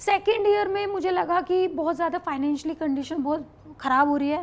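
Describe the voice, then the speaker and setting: A woman at a high pitch, speaking at a moderate pace. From Meerut, Uttar Pradesh. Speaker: reality show contestant. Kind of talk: interview answer.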